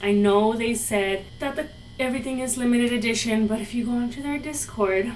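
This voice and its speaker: A woman in a Spanish accent, fairly even intonation, noticeable background noise and audible room echo. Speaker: fashion YouTuber. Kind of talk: product review. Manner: casual, chatty.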